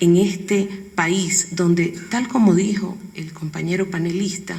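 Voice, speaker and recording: A woman's medium-pitched voice amid noticeable background noise and audible room echo. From coastal Ecuador, Guayaquil. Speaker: educational television director, panelist. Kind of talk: conference panel talk.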